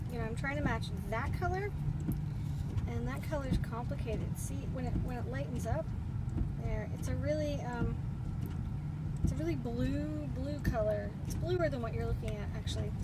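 Long, frequent pauses break up the speech, which has a dry sound with no echo over loud background noise. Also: woman, moderate pace. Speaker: watercolour teacher. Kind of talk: tutorial. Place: car. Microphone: phone near.

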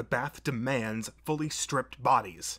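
The speaker reads aloud in a natural voice. Pitch varies in an ordinary way.

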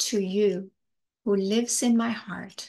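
Very slowly, a woman speaks in a calm, gentle tone. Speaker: spiritual teacher. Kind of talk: poem reading, spiritual, read aloud to listeners with eyes closed. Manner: slow, calm, meditative, gentle; rhythmic, deliberate, earnest. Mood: calm, heartfelt, slow. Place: home room. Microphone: webcam.

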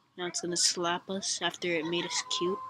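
Noticeable background noise sits behind a woman's voice. She speaks at a fairly low pitch with monotone, flat intonation. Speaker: gaming YouTuber. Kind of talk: let's play commentary. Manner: soft-spoken; casual.

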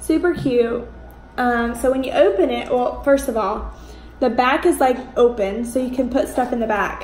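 In a room with audible echo and light background noise, a woman speaks at a high pitch and a moderate pace with ordinary pitch variation. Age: 20s. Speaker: YouTuber. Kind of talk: unboxing video. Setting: home. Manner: animated. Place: home room. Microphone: phone near.

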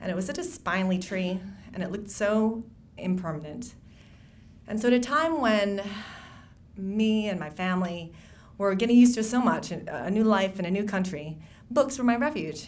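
With an American accent, a woman talks at a moderate pace and medium pitch, leaving long, frequent pauses. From Wisconsin (Racine), emigrated from the Philippines at six; Wisconsin. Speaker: novelist. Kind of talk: speech at a book event. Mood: warm, reflective, lightly humorous. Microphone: podium.

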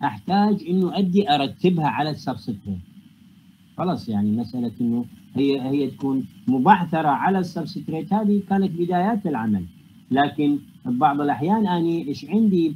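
With an Iraqi accent, a man talks at a moderate pace in a fairly high pitch that makes very wide swings. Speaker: university lecturer and researcher in physics. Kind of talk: academic lecture. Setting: online video call lecture. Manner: formal, explanatory, mixes English technical terms.

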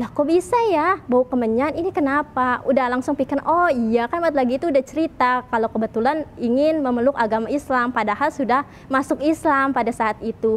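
A woman with a high pitch talks at a fairly quick pace with hardly any pauses and ordinary pitch variation. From Indonesia, Tangerang; Indonesia. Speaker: convert sharing testimony. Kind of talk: testimony. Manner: casual with frequent fillers. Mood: lively, earnest, smiling at times. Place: church. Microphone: lapel.

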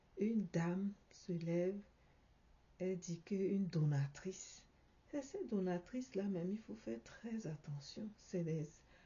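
Soft-spoken and somewhat breathy, a woman talks at a fairly slow pace and medium pitch with lively intonation and long, frequent pauses. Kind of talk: video commentary. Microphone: phone near.

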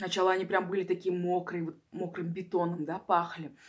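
The speaker is a woman. Her background is quiet. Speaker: eating-video creator. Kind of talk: casual vlog chat. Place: home room. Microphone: phone near.

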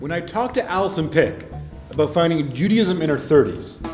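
Clear music plays in the background, and audible room echo fills the space. A man speaks at a fairly quick pace. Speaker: spoken word performer. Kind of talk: spoken word performance. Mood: wry, humorous storytelling. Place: church. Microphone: lapel.

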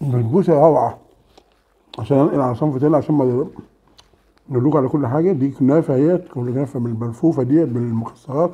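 A man's fairly high-pitched voice at a fairly quick pace, with ordinary pitch variation. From Egypt. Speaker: food vlogger. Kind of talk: casual mukbang vlog. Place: home room. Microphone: camera far.

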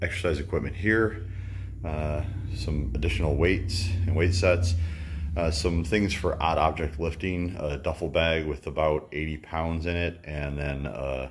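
With vocal fry and a very deep, low pitch, a man talks fairly slowly in fairly even intonation. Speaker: fitness vlogger. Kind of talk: casual vlog chat. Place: garage. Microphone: phone near.

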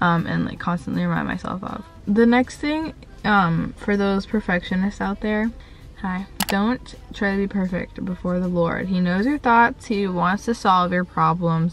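Faint music sits in the background while a woman speaks in a dry sound with no echo. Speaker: lifestyle vlogger. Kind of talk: casual vlog chat. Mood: reflective, a bit vulnerable. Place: car. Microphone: phone near.

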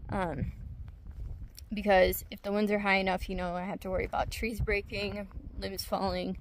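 This woman speaks at a moderate pace with a medium pitch and little pitch movement.

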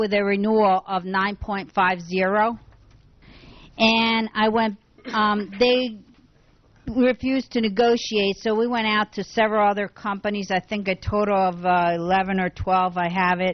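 A woman at medium pitch, fairly even in intonation, at a fairly slow pace. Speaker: insurance broker. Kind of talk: presentation to town council. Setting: council meeting room, public audience.

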